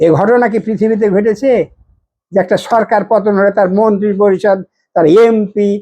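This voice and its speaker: A man with a high pitch, a dark, mellow tone, fairly even intonation and very even loudness, against a quiet background. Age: 60s. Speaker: political and religious commentator. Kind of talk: monologue commentary.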